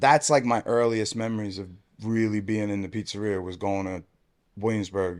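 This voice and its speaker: A New York accent at a moderate pace, with ordinary pitch variation and big swings in loudness, on a very clean recording with a silent background. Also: man. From New York City (Brooklyn, Staten Island). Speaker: pizzeria owner. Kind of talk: casual chat.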